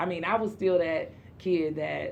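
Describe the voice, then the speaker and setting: A woman speaks with a Southern US accent and some vocal fry. Her pitch moves in an ordinary way, and the room echo is audible. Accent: Southern-sounding. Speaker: podcast host. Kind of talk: casual interview chat.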